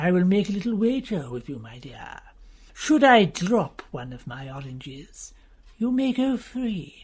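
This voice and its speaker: The voice is a put-on character at a middle pitch. Its pitch swings very widely at a moderate pace. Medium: audio drama. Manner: sneering.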